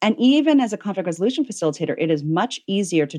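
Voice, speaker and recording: A woman with an unremarkable speaking voice talks at a fairly quick pace with lively intonation. The sound is dry and close with no echo over a quiet background. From Virginia, US (moved around as a child). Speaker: author and conflict resolution facilitator. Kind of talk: interview conversation.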